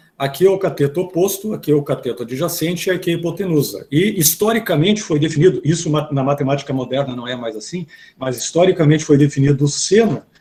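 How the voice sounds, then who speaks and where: A man with an unremarkable speaking voice talks at a fairly quick pace, fairly high in pitch, with lively intonation. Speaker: math teacher. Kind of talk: lecture.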